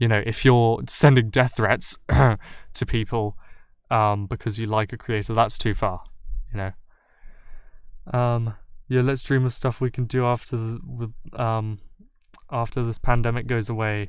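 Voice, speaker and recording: A man with a British accent and fairly even intonation, on a very clean recording with a silent background. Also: medium pitch for a man. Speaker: YouTube commentary creator. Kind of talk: livestream Q&A. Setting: livestream. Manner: halting, many fillers.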